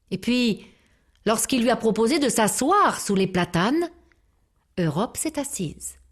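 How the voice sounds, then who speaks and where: Over a quiet background, a woman speaks at a very slow pace with very wide pitch swings, a calm tone, and a strained, somewhat breathy sound. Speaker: storyteller. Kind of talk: storytelling for children. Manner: calm, measured; restrained or vibrant for suspense.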